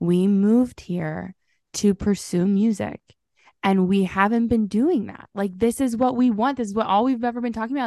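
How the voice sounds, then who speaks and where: A woman with a plain, everyday voice speaks at a moderate pace with ordinary pitch variation, the sound dry and close with no echo. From Southern Illinois. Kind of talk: casual interview chat.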